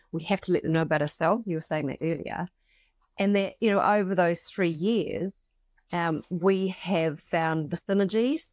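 A plain, everyday voice from a woman at medium pitch, moving at a moderate pace with ordinary pitch variation on a very clean recording with a silent background. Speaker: podcast co-host and academic. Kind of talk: casual conversational podcast discussion.

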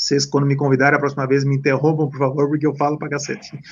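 At a very fast pace, a man speaks in a fairly high pitch with monotone, flat intonation. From Santa Catarina, Brazil. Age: 40s. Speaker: former footballer and coach. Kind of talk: interview. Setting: live stream. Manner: talkative.

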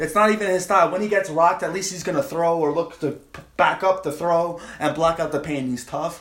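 A man talks at a fairly quick pace with a New York accent. His pitch is high, with ordinary variation. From Long Island, New York. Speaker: comedian. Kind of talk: casual chat.

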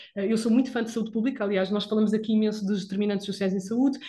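A woman's somewhat breathy, fairly high voice, flat and monotone in intonation. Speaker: physiotherapist podcast host. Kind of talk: casual chat.

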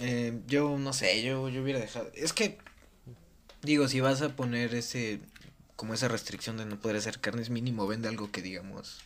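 Speaking at a moderate pace and medium pitch, a man leaves long, frequent pauses. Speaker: student podcast panelist. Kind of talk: casual chat.

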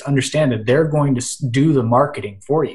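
A man speaks with an American accent. He has an unremarkable speaking voice. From Western Pennsylvania. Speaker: social media marketer and blogger. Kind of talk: casual interview chat.

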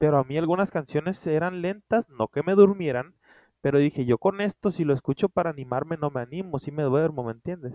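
A man talks at a fairly quick pace with a fairly high pitch and ordinary pitch variation. His is an unremarkable speaking voice. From Culiacán, Sinaloa, Mexico. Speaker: podcast co-host, writer. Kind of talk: casual chat. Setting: remote recording.

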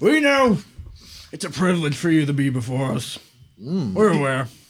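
A man uses a put-on character voice with a fairly high pitch. He talks at a moderate pace. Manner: smug, vain, genteel and amused.

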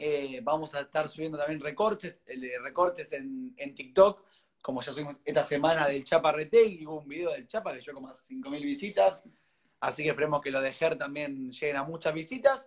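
A man in a normal speaking voice, fairly high in pitch, uses lively intonation with big swings in loudness. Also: fairly quick pace. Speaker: interview host. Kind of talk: interview.

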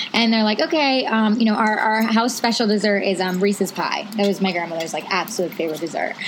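A woman talks very fast with hardly any pauses over noticeable background noise. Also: medium pitch for a woman, ordinary pitch variation. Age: 30s. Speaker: podcast co-host. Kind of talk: casual chat. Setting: outdoors.

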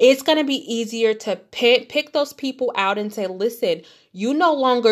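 A woman with a Detroit accent, a fairly high pitch, lively intonation and an animated tone, at a fairly slow pace on a very clean recording with a silent background. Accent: Midwestern American (Detroit). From Detroit, Michigan. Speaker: podcast host. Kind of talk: motivational monologue.

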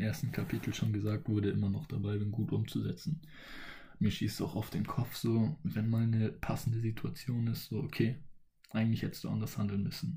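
At a moderate pace, a man speaks at a medium pitch in a dark, mellow tone with vocal fry. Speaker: solo podcaster. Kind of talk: motivational monologue. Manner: casual, with many filler sounds.

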